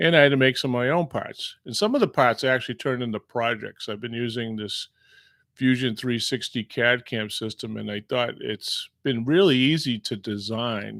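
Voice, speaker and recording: In a very clean, dry, close recording with no echo and a silent background, a man speaks at a moderate pace and medium pitch in a relaxed tone, with ordinary pitch variation and big swings in loudness. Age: 60s. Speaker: machining instructor. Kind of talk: casual monologue. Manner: relaxed, hesitant with fillers.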